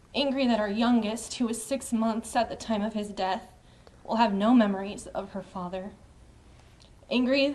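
The woman's pitch is fairly high. Her voice is somewhat breathy. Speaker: murder victim's widow. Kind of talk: press statement.

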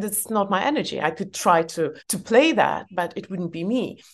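A woman speaks with an Eastern European accent at a moderate pace. Her pitch varies in an ordinary way, and the background is quiet. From former Soviet Union. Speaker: author. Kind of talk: interview conversation.

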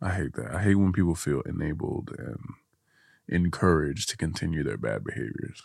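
Very deep and low, a man's voice shows vocal fry and lively intonation. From Guinea. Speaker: content creator. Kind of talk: casual chat. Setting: studio.

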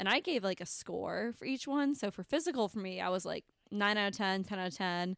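A woman with an American accent and a normal speaking voice talks at a fairly quick pace, medium in pitch with lively intonation. The recording is very clean with a silent background and a dry, close sound with no echo. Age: 20s. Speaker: podcast co-host. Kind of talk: casual chat.

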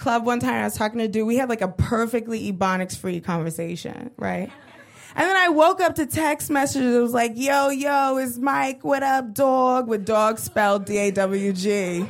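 With a plain, everyday voice, a woman speaks at a fairly high pitch and moderate pace, her intonation lively. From Brooklyn, New York (East New York). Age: 20s. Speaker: stand-up comedian. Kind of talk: stand-up. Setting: stage with audience.

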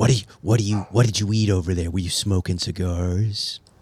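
Putting on a character voice, a man talks at a fairly slow pace in a fairly low pitch. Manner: accusatory.

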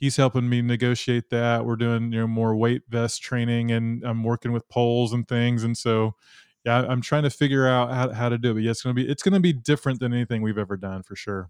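In an American accent, a man talks at medium pitch with fairly even intonation in an ordinary speaking voice, recorded with a dry, close sound with no echo against a quiet background. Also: fairly quick pace. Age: 50s. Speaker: podcast host and trail runner. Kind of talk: casual interview.

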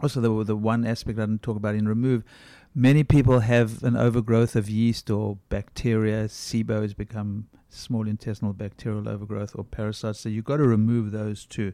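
Speaking at a fairly quick pace in a monotone, flat way, a man with a fairly low pitch and dark, mellow tone is heard in a very clean recording with a silent background. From South Africa. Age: 60s. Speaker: functional medicine doctor. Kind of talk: interview.

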